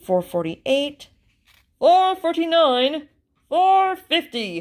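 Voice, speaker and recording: A woman puts on a character voice pitched extremely high, with very wide pitch swings. She speaks at a very slow pace. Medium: read story. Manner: precise, numerical.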